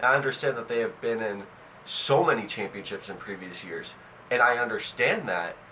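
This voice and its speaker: Over noticeable background noise, the speaker keeps a fairly quick pace with ordinary pitch variation. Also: man, medium pitch for a man. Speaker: sports commentary vlogger. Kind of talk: opinion monologue. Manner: animated, emphatic; repetitions and restarts.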